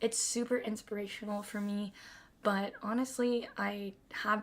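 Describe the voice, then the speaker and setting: A woman's normal speaking voice, fairly high in pitch, with fairly even intonation and a fairly slow pace. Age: 20s. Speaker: streamer. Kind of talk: casual chat. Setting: live stream.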